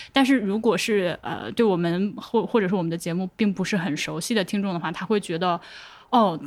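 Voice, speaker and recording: A woman with an ordinary speaking voice at a medium pitch, with ordinary pitch variation and a fairly quick pace. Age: 30s. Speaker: podcast producer. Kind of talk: casual chat.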